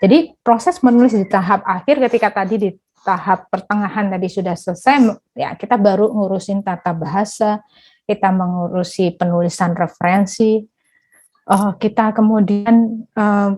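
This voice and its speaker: A woman with a Javanese accent speaks at a medium pitch in a somewhat breathy, dark, mellow tone with ordinary pitch variation. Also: moderate pace. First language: Javanese (speaking Indonesian). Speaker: workshop speaker on academic writing. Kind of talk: online workshop presentation. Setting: online workshop. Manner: hesitant, frequent fillers.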